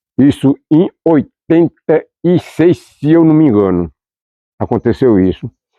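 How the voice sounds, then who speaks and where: Very wide pitch swings across a man's dark, mellow tone. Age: 80s+. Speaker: folk fife musician. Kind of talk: documentary interview. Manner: halting, repetitive.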